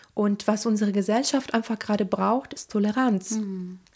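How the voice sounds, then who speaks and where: At a moderate pace, a woman with an unremarkable speaking voice talks at a medium pitch and with fairly even intonation. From Italy (Rome area). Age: 30s. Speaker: interpreter and singer. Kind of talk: casual interview.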